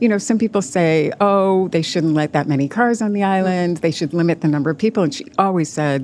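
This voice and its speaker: At a fairly quick pace, a woman talks in an ordinary speaking voice with ordinary pitch variation and hardly any pauses. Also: fairly low pitch for a woman. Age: 60s. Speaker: novelist. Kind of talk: interview.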